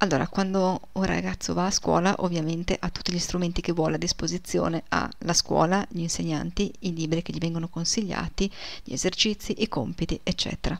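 A woman with an ordinary speaking voice talks at a fairly quick pace, fairly low in pitch, with fairly even intonation. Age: 40s. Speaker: German language teacher. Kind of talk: video lesson.

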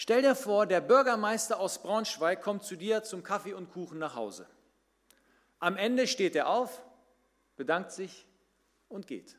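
In an animated tone, a man with a high pitch speaks with big swings in loudness and long, frequent pauses over a quiet background. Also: ordinary pitch variation, fairly slow pace. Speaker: pastor. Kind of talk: sermon. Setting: church. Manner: animated, conversational storytelling; direct, addresses listeners as 'du'. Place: church. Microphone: podium.

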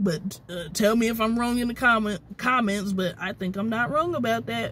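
The sound is dry with no echo. A woman speaks at a moderate pace with ordinary pitch variation. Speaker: vlogger. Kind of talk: casual vlog chat. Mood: annoyed, venting about drivers. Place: car. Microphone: phone near.

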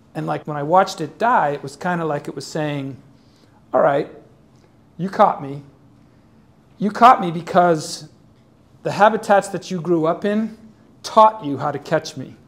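A man's high-pitched voice at a moderate pace, with ordinary pitch variation, big swings in loudness and long, frequent pauses. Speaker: guest. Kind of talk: storytelling talk to students. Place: classroom.

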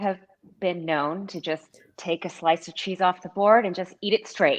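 A woman with an American accent speaks in a plain, everyday voice, at a medium pitch and moderate pace. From Texas. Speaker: food blogger and cheese board maker; food blogger. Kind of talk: casual live-stream tasting chat. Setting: video call live stream. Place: kitchen.

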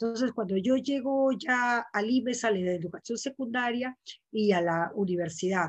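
Against a quiet background with a dry sound and no echo, a woman speaks at a moderate pace in a fairly high pitch with ordinary variation. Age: 60s. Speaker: poet and writer; panelist, feminist educator. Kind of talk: casual chat. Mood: reflective, earnest. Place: home room. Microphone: video call.

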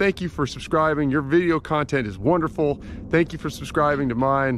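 At a moderate pace, a man speaks with light background noise present. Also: dry sound with no echo. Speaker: pilot vlogger. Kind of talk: casual vlog chat. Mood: friendly, upbeat. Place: open country. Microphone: phone near.

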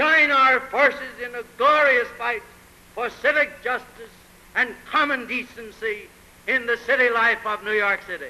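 A man's raised, projected voice at an extremely high pitch, fairly slow in pace, with ordinary pitch variation. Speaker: mayoral candidate. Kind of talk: political campaign speech. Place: hall. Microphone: old recording.

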